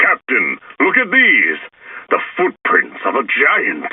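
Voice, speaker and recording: The speaker uses a put-on character voice and delivers it at a fairly slow pace. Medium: read story. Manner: excitable.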